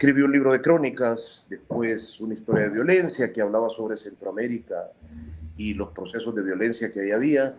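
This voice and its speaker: An ordinary speaking voice from a man, medium in pitch with ordinary pitch variation, at a fairly quick pace. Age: 40s. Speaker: journalist and author. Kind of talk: interview.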